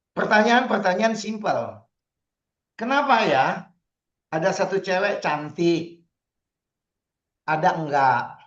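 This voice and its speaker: A man's high voice at a very slow pace, with lively intonation, very even loudness, long, frequent pauses and audible room echo. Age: 60s. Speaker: astrologer and feng shui consultant. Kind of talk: online talk / seminar. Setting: video call. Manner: casual, conversational.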